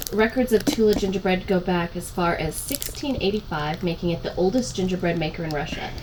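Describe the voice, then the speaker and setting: Over noticeable background noise, a woman talks at a fairly quick pace with hardly any pauses, using a medium pitch and ordinary pitch variation. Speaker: guest co-host. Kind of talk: reading product info card aloud.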